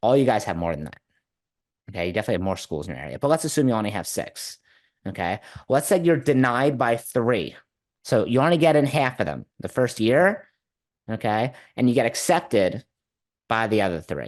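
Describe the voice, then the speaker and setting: A man talks at a fairly quick pace in an animated tone with vocal fry and very wide pitch swings. He leaves long, frequent pauses. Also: medium pitch for a man, quiet background. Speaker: marketing consultant for martial arts schools. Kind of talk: webinar presentation. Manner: fast.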